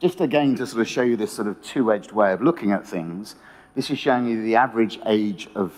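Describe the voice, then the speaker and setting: A man with a British accent speaks at a fairly quick pace with a fairly low pitch. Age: 60s. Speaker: economist. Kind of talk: conference talk.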